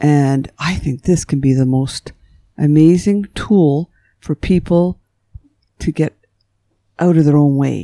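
Very slowly, with long, frequent pauses, a woman speaks in a very deep, low pitch and a dark, mellow tone, ordinary pitch variation, and a dry, close sound with no echo. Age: 60s. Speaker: psychotherapist. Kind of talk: interview, storytelling. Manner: halting, reflective.

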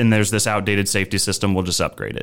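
A fairly low-pitched man with a Midwestern accent on a very clean recording with a silent background. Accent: General American (Midwest). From Nebraska, US Midwest. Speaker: controls engineer. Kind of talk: interview about machine safety.

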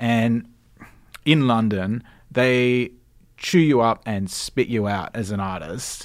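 In a very clean recording with a silent background, a man with an Australian accent speaks at medium pitch and a very slow pace, using ordinary pitch variation and long, frequent pauses. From Australia, Sydney (Cronulla). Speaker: radio presenter and station manager. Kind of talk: casual chat. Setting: studio.

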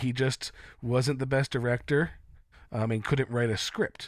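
A man with an unremarkable speaking voice, medium pitch and a fairly slow pace. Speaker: podcast co-host. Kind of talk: casual chat.

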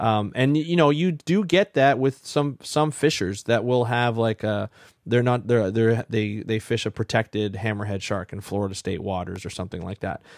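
A man with a Canadian accent and an unremarkable speaking voice talks at a moderate pace and medium pitch, with hardly any pauses. His intonation is lively, and the sound is dry and close with no echo. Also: very clean recording, silent background. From Ontario, Canada. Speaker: marine ecologist, podcast host. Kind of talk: interview.

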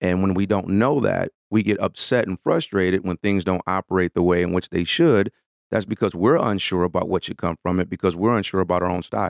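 A man's very deep, low voice with an American accent, fairly quick with hardly any pauses and fairly even intonation, in a very clean recording with a silent background and a dry, close sound with no echo. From US Midwest, Detroit. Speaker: management consultant. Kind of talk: interview.

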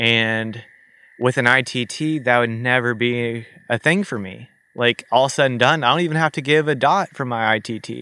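Speaking at a moderate pace with an American accent, a man has a medium pitch, a bright, sharp tone and ordinary pitch variation. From US South (Missouri). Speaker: endurance cyclist. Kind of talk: casual interview. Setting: in person studio.

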